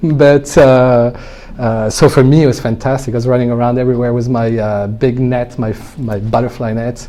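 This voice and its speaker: A man of medium pitch talks over noticeable background noise. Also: fairly even intonation, moderate pace. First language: French. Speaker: winemaker. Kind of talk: interview conversation. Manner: hesitant, many fillers.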